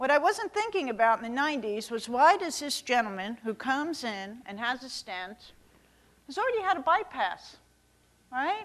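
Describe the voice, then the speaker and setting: A woman with a New York accent speaks in a high voice, her pitch swinging very widely and her loudness rising and falling sharply. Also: moderate pace. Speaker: cardiologist. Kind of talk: keynote lecture. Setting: stage with audience. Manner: animated.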